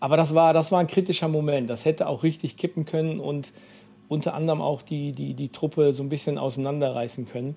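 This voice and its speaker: Talking at a fairly quick pace, a man with a fairly high voice keeps his intonation fairly even. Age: 40s. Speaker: youth mission worker. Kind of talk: interview. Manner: halting, many fillers.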